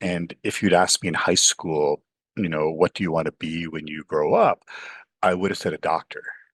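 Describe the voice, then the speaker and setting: Recorded dry and close with no echo, a man with a Canadian accent talks at a fairly quick pace. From Canada, Toronto. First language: Urdu. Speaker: professor. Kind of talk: interview.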